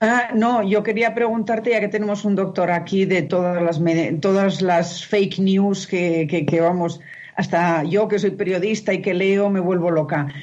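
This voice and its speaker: With a Spanish accent, the speaker talks at a fairly slow pace with fairly even intonation and very even loudness, and audible room echo fills the space. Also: woman, medium pitch for a woman. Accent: Peninsular Spanish. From Spain. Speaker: journalist. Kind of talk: interview.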